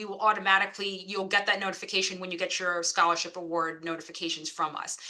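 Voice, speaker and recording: Against noticeable background noise, a woman with a medium pitch speaks in an American accent. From New York. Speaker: financial aid officer. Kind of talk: information session. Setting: video call. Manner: fast.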